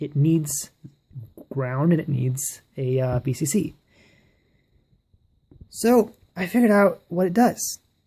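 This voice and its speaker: A woman's very deep, low voice, dark and mellow in tone and somewhat breathy, with lively intonation, a fairly slow pace, and long, frequent pauses. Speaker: electronics hobbyist. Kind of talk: casual electronics tutorial to camera. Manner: stutters a bit.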